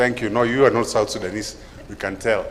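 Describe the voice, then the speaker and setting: Audible room echo surrounds a man speaking with a Kenyan accent. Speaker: event MC, lawyer and lecturer. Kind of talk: conference MC welcome. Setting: conference hall with audience. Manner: energetic.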